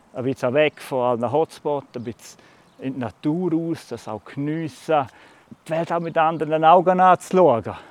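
Recorded dry and close with no echo, a man speaks at a moderate pace in a fairly high pitch with ordinary pitch variation. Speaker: farmer. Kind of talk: interview.

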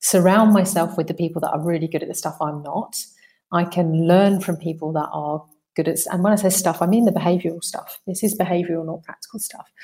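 Somewhat breathy and dark, mellow in tone, a woman with a British accent speaks at a fairly low pitch and fairly quick pace with fairly even intonation. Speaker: mindset coach. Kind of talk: interview conversation. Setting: remote call, guest in Italy.

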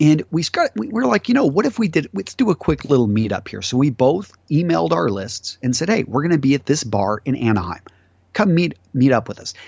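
Vocal fry at a fairly quick pace, with very wide pitch swings. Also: man, fairly high pitch for a man. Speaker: menswear YouTuber and entrepreneur. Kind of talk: casual interview. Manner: talkative.

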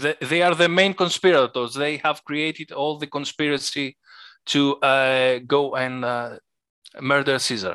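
This man's voice is fairly high-pitched, with a bright, sharp tone, ordinary pitch variation and a Greek accent, and he speaks at a fairly slow pace in a very clean, dry, close recording with a silent background and no echo. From Greece. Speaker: board game designer. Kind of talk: casual interview. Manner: halting, hesitant.

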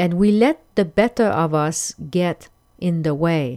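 Speaking with a French accent, this voice has a dark, mellow tone and lively intonation. The very clean recording has a silent background and a dry, close sound with no echo. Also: woman. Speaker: podcast host, life coach. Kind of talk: solo podcast monologue. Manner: hesitant, with filler words.

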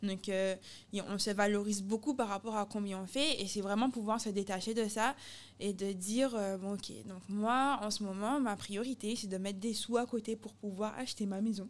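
This is an ordinary speaking voice with fairly even intonation. The pace is moderate. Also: woman, medium pitch for a woman. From Guadeloupe. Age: 30s. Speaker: athlete and expatriate. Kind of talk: casual interview chat.

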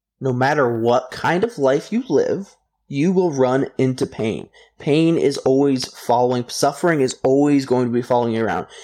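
A man with an American accent, moderate pace, ordinary pitch variation and very even loudness. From US, Idaho. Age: 20s. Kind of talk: interview. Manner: casual, with many fillers.

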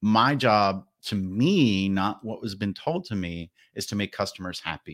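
A man talks at a fairly slow pace in a normal speaking voice, his pitch fairly low with ordinary variation, on a very clean recording with a silent background. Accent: American. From New Jersey, New York area. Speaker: marketing manager and podcast host. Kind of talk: casual interview.

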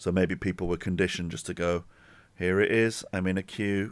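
On a very clean recording with a silent background, a man with an English accent speaks at a moderate pace in a very deep, low pitch. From England. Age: 40s. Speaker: podcast host. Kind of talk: casual chat.

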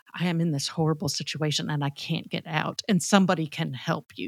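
In a very clean recording with a silent background and a dry, close sound with no echo, a woman speaks in a normal speaking voice at a fairly low pitch, moderate pace and with fairly even intonation. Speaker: podcast co-host. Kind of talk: casual conversation.

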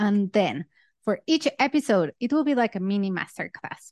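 A woman's medium-pitched voice with a dark, mellow tone and lively intonation, at a fairly slow pace, in a Spanish accent, with a dry, close sound with no echo and a quiet background. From Mexico. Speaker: podcast host and fintech product leader. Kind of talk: solo podcast monologue. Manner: animated.

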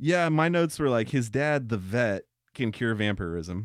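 A man talks at a moderate pace in a medium pitch. He has a plain, everyday voice with lively intonation. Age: 30s. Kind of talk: casual chat.

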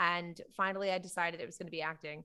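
A woman speaks with an American accent at a medium pitch, with ordinary pitch variation and a bright, sharp tone. The recording is very clean, with a silent background. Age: 30s. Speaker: comedian. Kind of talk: casual chat.

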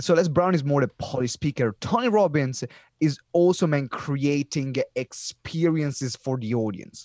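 A man with an Italian accent, dark and mellow in tone, at a moderate pace with ordinary pitch variation, in a dry, close sound with no echo. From Italy. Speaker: professional speaker and community founder. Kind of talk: casual interview chat. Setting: video call.

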